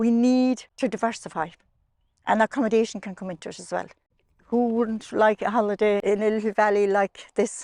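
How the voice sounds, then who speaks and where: With a Kerry accent, a woman talks in a monotone, flat intonation, her dry, close sound free of echo against a quiet background. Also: fairly high pitch for a woman, fairly quick pace. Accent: Irish, Kerry. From Ireland. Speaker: sheep farmer. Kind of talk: interview answer. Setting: outdoors.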